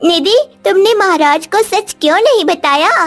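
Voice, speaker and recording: An extremely high, cartoonish character voice speaks at a fairly slow pace. Faint music plays in the background. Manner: gentle, caring.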